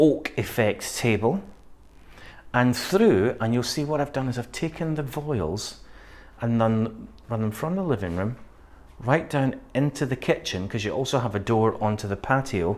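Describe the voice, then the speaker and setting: In a very clean recording with a silent background, a man with a Scottish accent speaks at a medium pitch and moderate pace with lively intonation. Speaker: interior designer. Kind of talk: home tour walkthrough.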